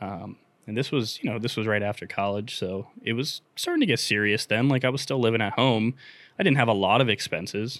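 A man with a plain, everyday voice, fairly low in pitch, fairly even in intonation and moderate in pace, in a very clean recording with a silent background. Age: 30s. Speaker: business owner. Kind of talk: casual chat.

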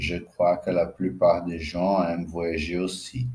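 With a Brazilian accent, a man speaks very slowly in a very deep, low pitch, his intonation fairly even and his voice somewhat breathy. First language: Portuguese (speaking French). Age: 40s. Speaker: podcaster and language learner. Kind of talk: scripted reading.

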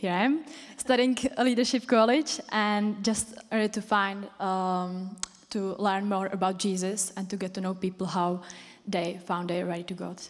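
A woman speaks at a medium pitch with a Czech accent. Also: ordinary pitch variation, moderate pace. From Czech Republic. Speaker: church member sharing testimony. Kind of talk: personal testimony. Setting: stage with audience in church.

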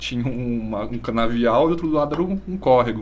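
With audible room echo, a man speaks at medium pitch with lively intonation and vocal fry. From Brazil, Bariri (São Paulo state). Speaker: schoolteacher. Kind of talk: casual chat. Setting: live-streamed podcast.

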